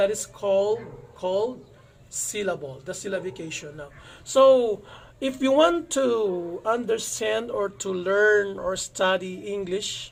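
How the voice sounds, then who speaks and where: The speaker talks at a fairly slow pace with a Filipino accent. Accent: non-native English, Filipino. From Philippines. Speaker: YouTuber, English teacher. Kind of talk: tutorial. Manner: halting, many fillers.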